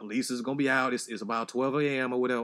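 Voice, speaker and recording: Very clean recording, silent background. A man speaks very fast at a medium pitch with ordinary pitch variation. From Chicago South Side, US. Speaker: podcast co-host. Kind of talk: casual chat.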